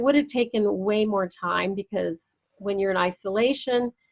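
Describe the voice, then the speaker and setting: A woman's normal speaking voice, medium in pitch, at a moderate pace. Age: 60s. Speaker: entrepreneur and women's summit founder. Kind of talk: interview conversation.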